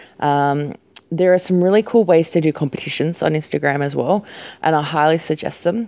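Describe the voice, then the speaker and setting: A woman with an Australian accent, a very deep, low pitch and ordinary pitch variation. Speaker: podcast host, small business owner. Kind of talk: casual solo talk. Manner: casual, many fillers.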